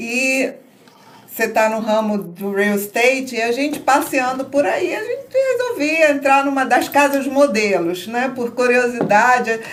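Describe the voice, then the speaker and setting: A woman's high-pitched voice at a fairly slow pace, with audible room echo and noticeable background noise. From northern Brazil, Belém do Pará. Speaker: tourism entrepreneur. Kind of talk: podcast interview.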